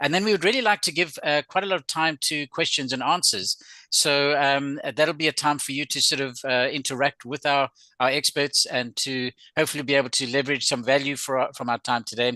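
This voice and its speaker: At a fairly quick pace, a man with a South African accent speaks in a fairly high, bright, sharp voice with ordinary pitch variation, the sound dry and close with no echo over a quiet background. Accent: sounds South African. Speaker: webinar host. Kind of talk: webinar presentation. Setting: video call. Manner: hesitant, with filler words.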